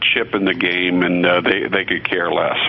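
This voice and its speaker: A man talks with a very deep, low pitch. Noticeable background noise sits behind him. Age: 60s. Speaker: radio host and physician. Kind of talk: talk radio commentary. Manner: halting, many repeated words and fillers.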